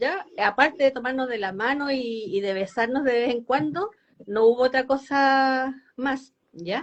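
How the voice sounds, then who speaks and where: A high-pitched woman speaks fairly slowly with lively intonation. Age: 70s. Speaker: foundation representative on older adults. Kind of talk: live interview. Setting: Instagram live video call.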